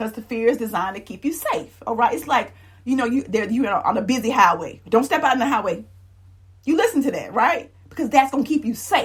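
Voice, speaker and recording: A woman with a high pitch, an animated tone, lively intonation and a very fast pace. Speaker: life coach and influencer. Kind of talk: motivational talk. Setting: live stream.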